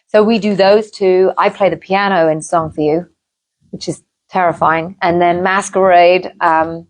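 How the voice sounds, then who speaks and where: A woman's fairly low voice in an English accent, monotone and flat in intonation, at a moderate pace. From England. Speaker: singer. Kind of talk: interview.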